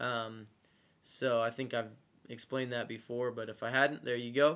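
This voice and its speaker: In monotone, flat intonation, a man speaks at medium pitch. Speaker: medical student vlogger. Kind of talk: casual video diary. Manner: halting, many fillers.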